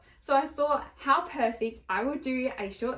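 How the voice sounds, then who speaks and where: With an Australian accent, a woman talks while noticeable background noise is present. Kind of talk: casual talk to camera.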